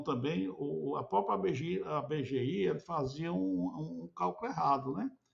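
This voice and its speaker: Pitched fairly high, a man's voice swings very widely in pitch. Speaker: researcher explaining a chart to a professor. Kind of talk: explanatory screen walkthrough. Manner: halting, many repetitions.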